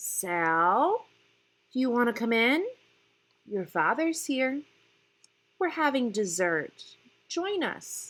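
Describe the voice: A woman uses a put-on character voice, fairly high and fairly bright, speaking at a slow pace with big pitch swings and long, frequent pauses.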